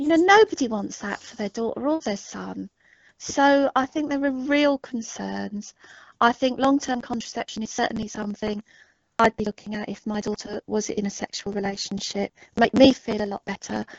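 This woman speaks in an English accent at a moderate pace, her pitch fairly high with ordinary variation. Her loudness swings widely. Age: 50s. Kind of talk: casual interview conversation.

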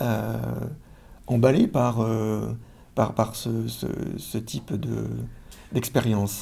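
His voice has a dark, mellow tone. The man talks at a medium pitch. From France. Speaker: social psychology professor. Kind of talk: interview. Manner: halting, frequent word repetitions.

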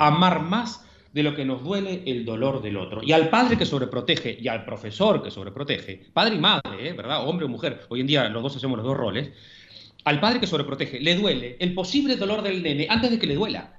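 A fairly high-pitched man with a Uruguayan accent, very wide pitch swings, a fairly quick pace and audible room echo. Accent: Rioplatense Spanish (Uruguayan). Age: 40s. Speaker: psychologist and author. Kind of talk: interview. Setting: phone call. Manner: fast.

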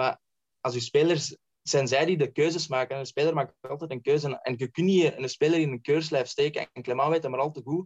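With a dry, close sound and no echo, a man speaks in an ordinary speaking voice at a fairly quick pace, fairly high in pitch with fairly even intonation. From Belgium, East Flanders (Lebbeke). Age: 20s. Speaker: football scout and author. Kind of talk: casual chat.

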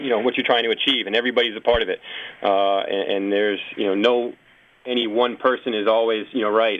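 A man's monotone, flat delivery with an American accent. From Massachusetts. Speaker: athletic trainer. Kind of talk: casual chat. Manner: halting, many repetitions.

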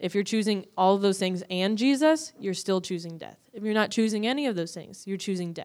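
This woman has a medium-pitched voice with ordinary pitch variation and an American accent. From Northwest Indiana, near Chicago. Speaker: missions student. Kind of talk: interview on stage. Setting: church.

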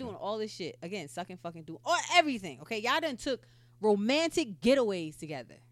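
A woman with a medium pitch speaks at a fairly quick pace, her pitch swinging widely.

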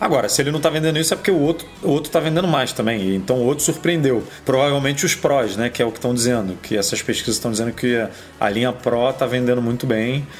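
Over noticeable background noise, a man talks at a very fast pace with a medium pitch, very even loudness and ordinary pitch variation. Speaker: podcast co-host. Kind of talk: casual chat. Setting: studio, streamed live on YouTube.

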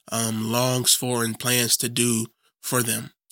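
This man speaks at a medium pitch and a very slow pace, his bright, sharp tone delivered in a monotone, flat intonation. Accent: American. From Chicago area, US Midwest. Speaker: Bible teacher. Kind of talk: teaching interview. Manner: halting, many fillers.

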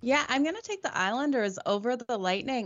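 A woman with an ordinary speaking voice talks at a moderate speed, her pitch varying in an ordinary way. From Australia, moved to Canada at 14. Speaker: sports handicapper panelist. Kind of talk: casual chat.

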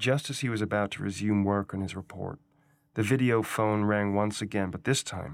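Natural-voiced reading aloud

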